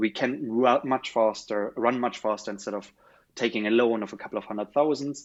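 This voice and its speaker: The speaker talks at a moderate pace. They have a German accent. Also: man. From Germany. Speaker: startup founder. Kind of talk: interview.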